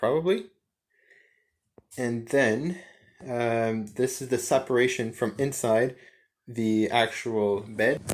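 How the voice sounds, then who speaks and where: Very slow speech in a French Canadian accent with ordinary pitch variation, on a very clean recording with a silent background. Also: man. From French Canada. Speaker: vlogger. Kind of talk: casual walkthrough. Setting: inside a van.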